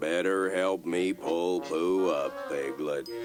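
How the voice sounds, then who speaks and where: Over clear background music, a man does a put-on character voice at a very slow pace. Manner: slow, glum, deadpan.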